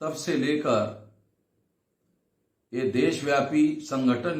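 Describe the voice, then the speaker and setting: Amid audible room echo, a man speaks with ordinary pitch variation. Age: 60s. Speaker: activist organization leader. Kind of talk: recorded speech to a convention. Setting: video message.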